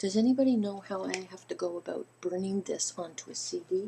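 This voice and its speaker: A woman of medium pitch with an unremarkable speaking voice, at a moderate pace and with ordinary pitch variation. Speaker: video blogger. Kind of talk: casual vlog talking to viewers.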